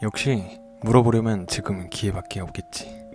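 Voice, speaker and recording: Over music in the background, a man talks at a fairly slow pace with a fairly low pitch and ordinary pitch variation. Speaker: horror radio narrator. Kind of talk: horror story narration, read aloud in first person.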